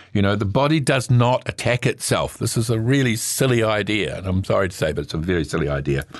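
In a New Zealand accent, a man talks very fast at a medium pitch, with very wide pitch swings and hardly any pauses. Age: 70s. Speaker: medical herbalist and naturopath. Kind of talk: radio talk on natural health. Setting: studio. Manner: hesitant, many fillers.

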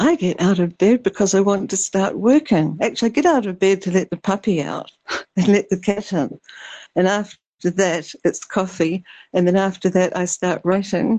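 A woman with a New Zealand accent and a dark, mellow tone, at a moderate pace. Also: medium pitch for a woman, ordinary pitch variation, quiet background. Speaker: artist and painter. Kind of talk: casual chat. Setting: remote call.

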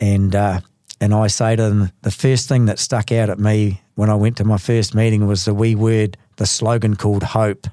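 Speaking at a moderate pace with a New Zealand accent, a man with a fairly low voice and a dark, mellow tone keeps a monotone, flat intonation and very even loudness. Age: 60s. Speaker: recovering alcoholic, gardener and sausage maker. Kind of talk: personal testimony. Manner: halting.

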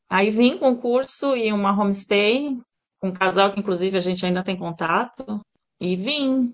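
A woman speaks with a normal speaking voice at a medium pitch. Her pace is moderate and her pitch variation ordinary. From Brazil, Santos (São Paulo state). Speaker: pet groomer and salon owner. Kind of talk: interview.

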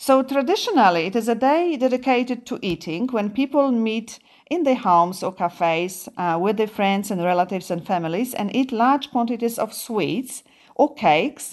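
With a Polish accent, a woman talks at a moderate pace in a fairly high voice with lively intonation, over a quiet background. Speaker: radio host. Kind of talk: casual radio chat. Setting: studio.

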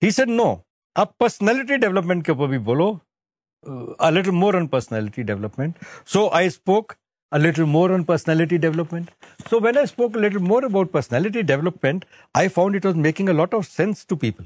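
A man talks at a very fast pace in a high pitch, with very wide pitch swings and very even loudness. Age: 90s. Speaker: retired military officer and devotee. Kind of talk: testimony. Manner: halting.

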